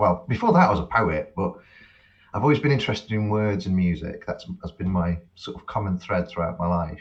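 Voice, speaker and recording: A man with a slight Cheshire accent talks at a fairly quick pace, his pitch fairly low. His voice is somewhat breathy, with lively intonation. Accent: slight Cheshire accent, toned-down English. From England, Cheshire (rural). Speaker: academic and musician. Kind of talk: podcast interview. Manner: halting, repeats words.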